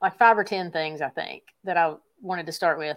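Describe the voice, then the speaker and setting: On a very clean recording with a silent background, a woman speaks with a Southern US accent. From East Tennessee. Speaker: YouTube gear reviewer and hunter. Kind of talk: casual interview.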